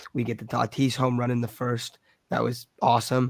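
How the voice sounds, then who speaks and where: A man talks at a moderate pace with a medium pitch and a flat, monotone delivery. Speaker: sports podcast host. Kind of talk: casual chat.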